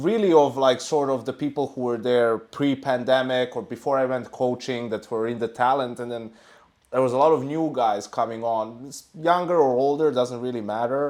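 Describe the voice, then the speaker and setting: With a non-native accent, a man speaks at a moderate pace and medium pitch with fairly even intonation against a quiet background. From Serbia. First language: not English. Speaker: esports analyst. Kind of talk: casual chat.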